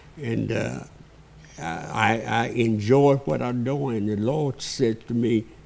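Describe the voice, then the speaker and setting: A man with a Southern US accent speaks at a very slow pace and medium pitch, with ordinary pitch variation. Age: 80s+. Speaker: pastor. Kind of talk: interview.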